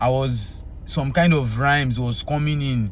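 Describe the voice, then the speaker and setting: A man with a Yoruba accent speaks with fairly even intonation, amid noticeable background noise and audible room echo. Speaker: Afrobeats singer. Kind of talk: casual talk to camera.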